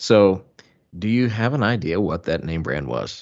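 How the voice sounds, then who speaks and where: With a Southern US accent, a man speaks in a very deep, low pitch that varies in an ordinary way. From US South. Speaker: podcast co-host, film reviewer. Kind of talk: quiz hosting; casual chat.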